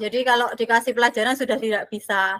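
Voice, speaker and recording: Raising and projecting her voice, a woman speaks in a bright, sharp tone. Her intonation stays fairly even. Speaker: special education teacher. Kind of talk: online training discussion.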